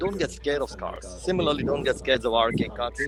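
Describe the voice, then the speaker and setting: Music can be heard behind the speaker. He is a man talking at a fairly quick pace. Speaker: eye surgeon. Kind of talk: webinar talk. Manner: fast; animated.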